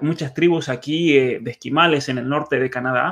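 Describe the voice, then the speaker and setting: An unremarkable speaking voice talks at a moderate pace over a quiet background. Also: man. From Argentina, San Juan. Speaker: author and cultural commentator. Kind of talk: conversational interview.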